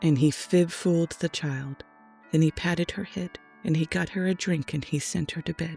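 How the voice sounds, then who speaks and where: Soft-spoken and calm in tone, the voice keeps a moderate pace while music plays in the background. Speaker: storyteller. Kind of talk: children's rhyming story read aloud. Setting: home studio microphone. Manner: soft-spoken, calm.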